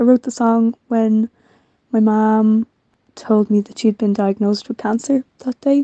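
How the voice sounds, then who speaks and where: A woman speaks slowly in a dark, mellow tone with monotone, flat intonation. There are long, frequent pauses, and the sound is dry and close with no echo. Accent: Irish. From Ireland, Dublin. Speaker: band member. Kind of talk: recorded introduction.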